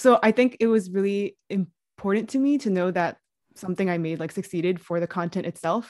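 An ordinary speaking voice: a woman at medium pitch, fairly quick in pace, with ordinary pitch variation, a quiet background, and a dry, close sound with no echo. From New York City. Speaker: podcast co-host, curriculum developer. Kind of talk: casual interview.

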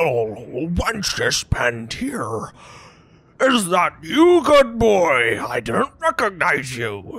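The put-on character voice is raspy, at a middle pitch, and moves at a very slow pace.

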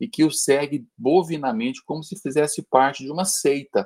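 The intonation here is lively. It comes from a man with a fairly high pitch. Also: dry, close sound with no echo. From Minas Gerais, Brazil (Uberlândia). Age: 50s. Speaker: podcast guest. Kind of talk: casual discussion. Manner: halting, repetitive starts.

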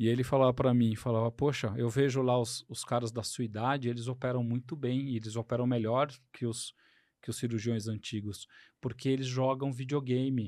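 A man speaks at a moderate pace with a medium pitch and flat, monotone intonation. The recording is very clean, with a silent background. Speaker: podcast host, surgeon. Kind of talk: casual interview chat. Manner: halting, many fillers.

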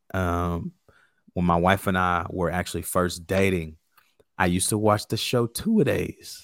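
In a very clean recording with a silent background, a man with an American accent talks at a fairly slow pace in a very deep, low pitch. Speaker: sports podcast host. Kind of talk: casual sports chat. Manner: animated.

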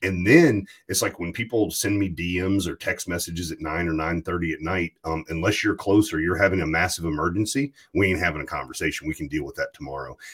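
In a very clean recording with a silent background, a man with an American accent speaks at a fairly quick pace in a very deep, low pitch. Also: ordinary pitch variation, hardly any pauses. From US South, rural Virginia. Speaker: podcast host. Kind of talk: casual chat.

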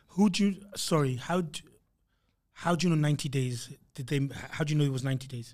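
Breaking speech with long, frequent pauses, a man talks at a fairly quick pace with a fairly high pitch, ordinary pitch variation and a somewhat breathy sound. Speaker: podcast co-host. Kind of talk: casual chat.

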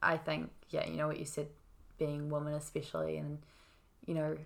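Speaking with a New Zealand accent, a woman keeps to a moderate pace. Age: 20s. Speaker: podcast guest. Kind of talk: casual conversation.

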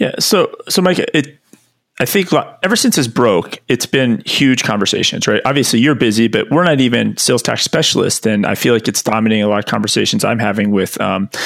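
An unremarkable speaking voice moves at a fairly quick pace with lively intonation and very even loudness. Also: man. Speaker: podcast co-host. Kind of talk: casual interview.

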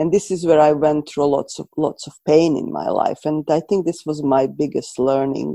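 With vocal fry and a very deep, low pitch, a woman speaks at a moderate pace with fairly even intonation and hardly any pauses. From Croatia. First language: Serbo-Croatian. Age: 40s. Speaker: coach and counselor. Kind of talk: interview conversation.

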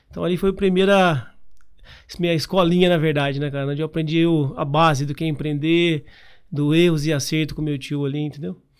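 A fairly quick-paced man with a fairly high pitch and long, frequent pauses. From Paraná, Brazil (Londrina area). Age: 30s. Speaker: entrepreneur and franchise founder. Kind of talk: interview. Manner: casual, filler-heavy speech.

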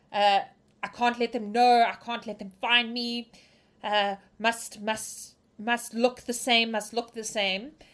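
In a put-on character voice, a woman mumbles at a very slow pace with fairly high pitch, flat monotone intonation and big swings in loudness. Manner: mumbling, anxious, wild.

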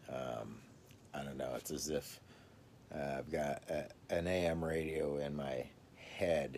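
A man speaks at a very slow pace with a very deep, low pitch, fairly even intonation and vocal fry. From US South, Mississippi. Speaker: podcast host. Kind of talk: casual solo livestream talk. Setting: video livestream at home. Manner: halting.

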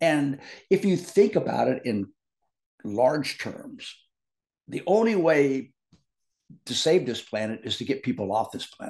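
With an American accent and vocal fry, a man speaks fairly slowly at fairly high pitch, with very wide pitch swings, big swings in loudness and long, frequent pauses. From US Midwest. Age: 70s. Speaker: biotechnology professor. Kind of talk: casual chat.

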